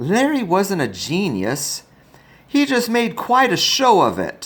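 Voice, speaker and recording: Speaking at a fairly slow pace, a man uses a put-on character voice pitched high. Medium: read story. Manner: warm, motherly.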